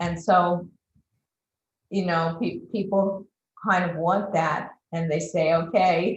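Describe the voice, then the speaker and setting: With audible room echo, a woman speaks at a medium pitch, somewhat breathy, with ordinary pitch variation. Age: 60s. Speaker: transformational coach. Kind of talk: interview.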